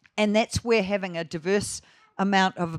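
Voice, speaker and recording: A voice in a New Zealand accent with ordinary pitch variation. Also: woman. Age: 60s. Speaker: grazing management educator. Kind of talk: conference talk. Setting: festival talk with live audience.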